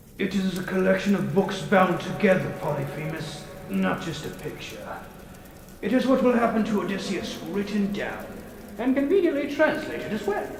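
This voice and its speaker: With clear background noise and a clear echo, a man performs a put-on character voice at a moderate pace, his pitch high. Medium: comedy sketch. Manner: condescending, dry.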